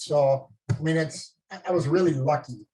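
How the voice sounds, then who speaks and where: Speaking with a Minnesota accent, the man has a fairly high pitch. It sits above the usual range for his voice. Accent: Minnesota accent, often taken for Canadian. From northern Minnesota. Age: 50s. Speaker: medical device company executive. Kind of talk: casual talk on a group video call. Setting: live group call.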